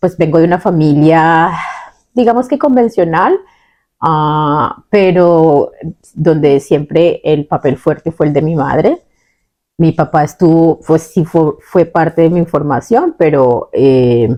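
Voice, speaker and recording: A woman talks at a fairly low pitch and a very slow pace. Her tone is dark and mellow, with ordinary pitch variation and very even loudness. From Colombia, La Guajira. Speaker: podcast co-host. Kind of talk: casual conversational podcast.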